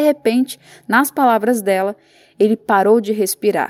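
With a normal speaking voice and ordinary pitch variation, a woman talks at a fairly slow pace in a dry, close sound with no echo, on a very clean recording with a silent background. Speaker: reporter reading her own book as audiobook. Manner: slow, solemn, heavy with sorrow, measured pacing.

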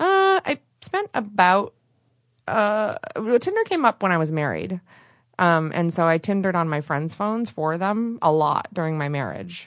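A woman speaks with an American accent at a moderate pace, in an unremarkable speaking voice. Her medium pitch shows ordinary pitch variation. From Michigan, rural area near Flint. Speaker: podcast host and radio producer. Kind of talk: casual interview chat. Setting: podcast studio.

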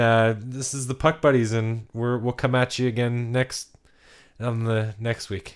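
In a very clean recording with a silent background, a man speaks in a normal speaking voice at medium pitch with fairly even intonation. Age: 30s. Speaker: hockey podcast co-host. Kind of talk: casual chat.

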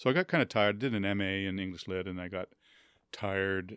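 This man has an unremarkable speaking voice, fairly low in pitch, with a Canadian accent and a moderate pace. The sound is dry and close with no echo, on a very clean recording with a silent background. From Winnipeg, Canada. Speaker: author and writing professor. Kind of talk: interview. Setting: studio.

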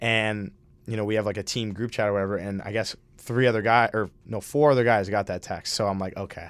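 This man talks at a very fast pace with an Upper Midwest accent. His pitch is fairly low and his intonation fairly even, on a very clean recording with a silent background. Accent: Upper Midwest American. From Minnesota. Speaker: college hockey player. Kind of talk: interview. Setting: studio.

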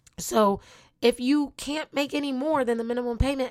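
A woman's animated, high-pitched voice at a moderate pace with ordinary pitch variation, on a very clean recording with a silent background. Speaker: motivational podcast host. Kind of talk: motivational monologue.

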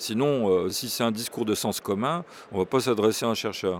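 This man has a normal speaking voice, pitched in the medium range. His pitch varies in an ordinary way. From Burgundy, France. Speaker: professor. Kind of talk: interview.

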